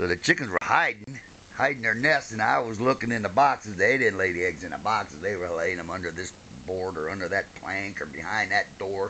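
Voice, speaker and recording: With noticeable background noise behind him, a man with an American accent and a fairly low pitch speaks at a fairly quick pace with lively intonation. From Ohio, US Midwest. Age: 60s. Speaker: grandfather. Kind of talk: oral history interview, casual storytelling.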